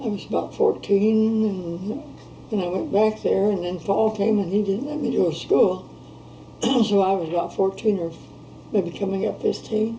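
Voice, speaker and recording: A woman's medium-pitched voice with ordinary pitch variation at a moderate pace, against noticeable background noise. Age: old. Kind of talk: interview answer.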